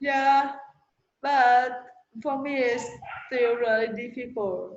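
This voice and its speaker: With a non-native accent, a woman speaks at a high pitch with fairly even intonation and long, frequent pauses, and the room echo is audible. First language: not English. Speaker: language learner. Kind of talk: casual chat.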